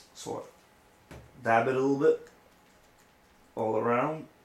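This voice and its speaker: A man speaks at a medium pitch with a French accent and fairly even intonation. There is audible room echo and noticeable background noise. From France or French-speaking region. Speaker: RC hobbyist. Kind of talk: tutorial. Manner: casual, halting.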